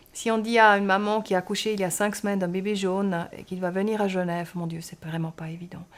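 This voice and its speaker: Fairly quick and fairly even in intonation, a woman speaks with a Swiss German accent. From German-speaking Switzerland. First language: Swiss German (speaking French). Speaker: pediatric surgeon. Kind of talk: interview. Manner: hesitant, with fillers.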